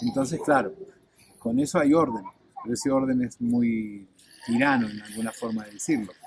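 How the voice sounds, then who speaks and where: A man's voice against noticeable background noise. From Argentina. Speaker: former air force officer. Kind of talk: testimony.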